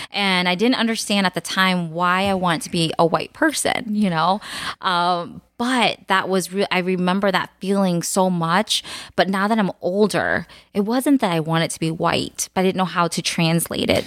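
With a Cambodian accent, a woman speaks at a medium pitch and moderate pace with ordinary pitch variation, in a very clean recording with a silent background. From United States, child of Cambodian immigrants. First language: Khmer. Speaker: podcast co-host, mother of four. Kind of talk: casual chat.

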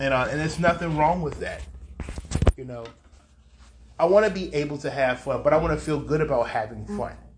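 A man talks at a fairly quick pace with long, frequent pauses and a fairly high pitch. His pitch varies in an ordinary way, and the room echo is audible. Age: 50s. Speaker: podcast host. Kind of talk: personal monologue.

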